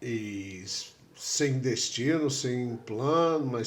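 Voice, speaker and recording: At a very slow pace, a man talks at a medium pitch. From USA. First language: English (speaking Portuguese). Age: 70s. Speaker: tattoo artist and writer. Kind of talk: interview.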